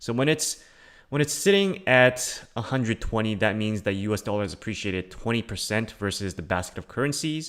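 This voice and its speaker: In a very clean recording with a silent background, a man speaks at a medium pitch and a fairly quick pace with ordinary pitch variation. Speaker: crypto YouTuber. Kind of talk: livestream commentary. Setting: live stream with screen share. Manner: casual, hesitant with fillers.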